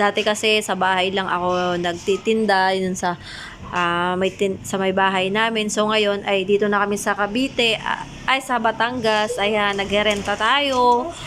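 Over noticeable background noise, a woman speaks at a fairly slow pace in a medium pitch. Her intonation is fairly even and her loudness very even. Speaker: vlogger and sari-sari store owner. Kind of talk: casual vlog monologue. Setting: market stall.

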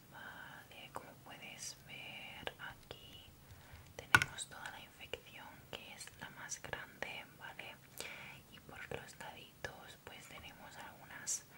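A woman whispers at a very slow pace, her loudness swinging widely. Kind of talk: roleplay, soft spoken. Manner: soft, close ASMR-style speech. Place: home room. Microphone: studio mic.

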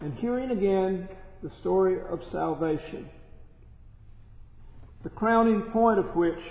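A man talks at a very slow pace. Audible echo fills the room. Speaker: priest. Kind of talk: sermon. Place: church. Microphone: podium.

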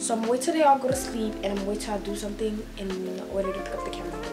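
Loud music plays in the background. Over it, a woman talks at a very fast pace. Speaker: vlogger. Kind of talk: casual vlog chat. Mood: annoyed, venting. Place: home room. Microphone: phone near.

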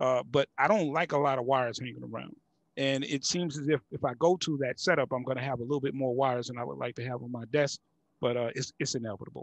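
A man with an American accent talks at a very fast pace and a medium pitch, using fairly even intonation. The background is quiet and the sound is dry with no echo. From US South, Houston. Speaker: music producer and YouTube creator; YouTube creator. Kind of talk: casual interview. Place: studio. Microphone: headset.

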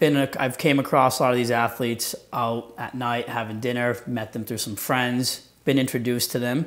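The speaker talks at a moderate pace in a monotone, flat intonation. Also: man. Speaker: guest. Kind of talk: interview answer. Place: studio. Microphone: lapel.

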